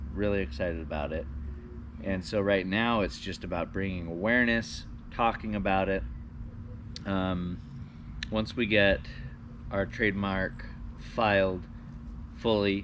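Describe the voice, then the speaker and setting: Mumbling at a fairly slow pace with long, frequent pauses, a man speaks in a very deep, low voice with ordinary pitch variation, and room echo is audible. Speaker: parent entrepreneur co-host. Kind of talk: casual chat.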